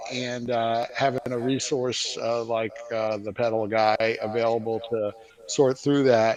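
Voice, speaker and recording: Through noticeable background noise, a man with an American accent talks fairly slowly at a medium pitch in a monotone, flat intonation. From New York. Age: 60s. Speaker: guitarist, customer. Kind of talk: livestream interview. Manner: hesitant, many fillers.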